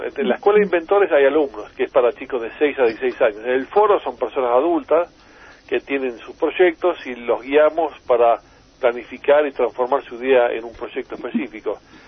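A man's plain, everyday voice at a fairly high pitch and moderate pace, with lively intonation and big swings in loudness. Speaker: inventor. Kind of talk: interview.

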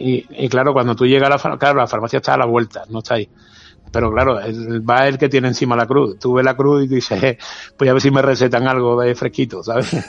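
Speaking at a very fast pace, a man delivers his words in a monotone, flat intonation at a medium pitch. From Seville, Andalusia (Spain). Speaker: photographer. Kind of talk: casual chat. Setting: outdoors.

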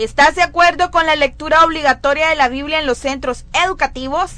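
Her voice high, bright and sharp, a woman speaks at a fairly quick pace with fairly even intonation. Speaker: youth radio host. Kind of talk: live radio show.

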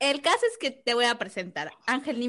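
A woman with an ordinary speaking voice, lively intonation and a fairly quick pace, over a quiet background. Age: 30s. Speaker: podcast co-host. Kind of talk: casual chat.

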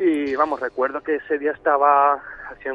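This man speaks at a fairly slow pace in a fairly high voice. His intonation is monotone and flat. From Algeciras, Cádiz, Spain. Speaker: caller, DJ. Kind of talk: testimony.

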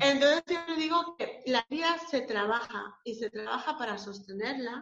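This woman has a high pitch. She talks at a fairly slow pace. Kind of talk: casual interview.

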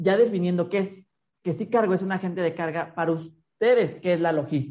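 A woman speaks at a fairly quick pace over a quiet background. Her voice is fairly low, dark and mellow, with ordinary pitch variation. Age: 30s. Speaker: podcast host. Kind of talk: interview.

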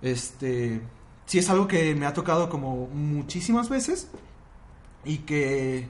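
Speaking at a very slow pace with long, frequent pauses, the voice is somewhat breathy and has lively intonation, with audible room echo in the recording. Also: man, fairly high pitch for a man. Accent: Mexico City. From Mexico City. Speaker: podcast guest. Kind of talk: casual chat.

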